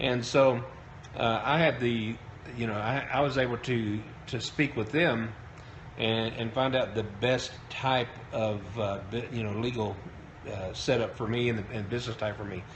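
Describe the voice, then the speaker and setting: Intonation stays fairly even at a moderate pace. The room adds audible echo. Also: man, medium pitch for a man. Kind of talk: live-stream talk. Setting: live broadcast on Periscope. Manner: hesitant, many fillers.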